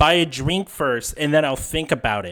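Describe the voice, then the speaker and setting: A man puts on a character voice with a fairly high pitch. His intonation is lively, and his pace is moderate. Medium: actual play. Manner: blunt, terse.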